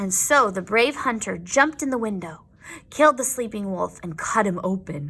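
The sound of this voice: With lively intonation, an unforced reading voice carries the words.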